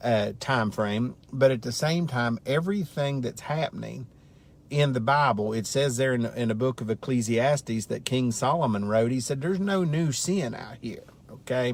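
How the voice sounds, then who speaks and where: Medium-pitched male speech at a moderate pace, pitch varying in the ordinary way, an unremarkable speaking voice. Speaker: Bible study teacher. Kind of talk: casual Bible lesson livestream. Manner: conversational.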